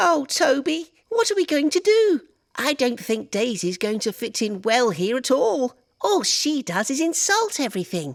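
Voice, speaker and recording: A put-on character voice, high-pitched with very wide pitch swings, at a moderate pace. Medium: audio drama.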